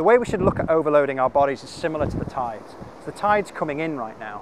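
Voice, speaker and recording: The intonation is lively. The sound is dry with no echo, but there is noticeable background noise. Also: man. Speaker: fitness coach. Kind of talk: tutorial. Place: beach.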